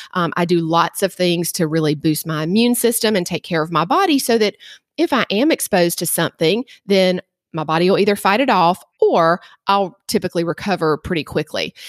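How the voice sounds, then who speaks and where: On a very clean recording with a silent background, a woman with a Southern US accent speaks at a medium pitch and a fairly quick pace with ordinary pitch variation. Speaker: nurse practitioner. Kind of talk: interview.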